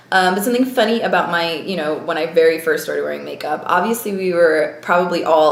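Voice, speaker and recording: Someone with an American accent speaks at a very fast pace with ordinary pitch variation, amid audible room echo and noticeable background noise. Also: woman. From US, moved around (Navy family). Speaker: beauty vlogger. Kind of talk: casual vlog talk.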